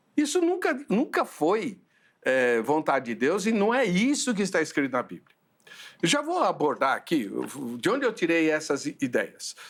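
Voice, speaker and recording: This man's voice is high in pitch, with very wide pitch swings. His pace is moderate. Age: 60s. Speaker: pastor and theological debate show host. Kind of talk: theological debate.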